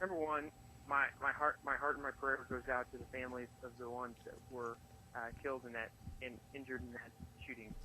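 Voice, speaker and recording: A man with a plain, everyday voice talks at a fairly quick pace in a medium pitch, his intonation fairly even. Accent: American. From US Midwest, Chicago. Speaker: politician, state senator. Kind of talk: political interview.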